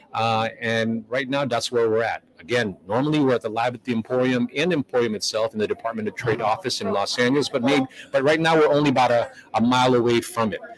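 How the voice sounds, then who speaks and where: Over noticeable background noise, a man with a medium-pitched voice speaks at a very fast pace with ordinary pitch variation. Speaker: live stream host. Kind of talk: live stream commentary. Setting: live event venue, community hall. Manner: fast, rambling. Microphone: far from the mic.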